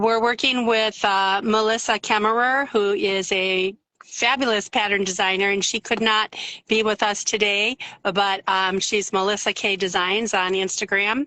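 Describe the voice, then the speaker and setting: In an Upper Peninsula Michigan accent, a woman speaks at a medium pitch and a moderate pace, her intonation monotone and flat and her loudness very even. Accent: Upper Peninsula Michigan accent, mild. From Upper Peninsula of Michigan. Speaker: yarn dyer. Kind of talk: casual interview chat.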